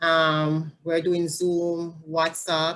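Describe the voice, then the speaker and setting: This woman speaks with a Jamaican accent. Her pace is very slow. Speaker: family support specialist. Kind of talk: interview.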